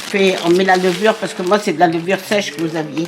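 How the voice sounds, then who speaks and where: Noticeable background noise sits behind a woman speaking. Her pitch is medium and varies in an ordinary way. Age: 80s+. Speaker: home cook. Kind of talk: interview answer.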